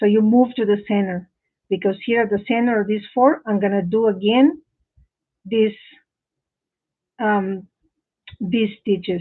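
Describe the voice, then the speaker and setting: Long, frequent pauses break up the fairly slow pace. The speaker has a non-native accent. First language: not English. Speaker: crochet teacher. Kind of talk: live tutorial. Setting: live stream from home office. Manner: halting.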